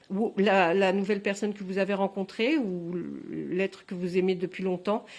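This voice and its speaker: Here a woman speaks at a medium pitch and a moderate pace. Her intonation stays fairly even. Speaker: tarot card reader. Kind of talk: tarot reading video. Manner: halting, many fillers and repetitions.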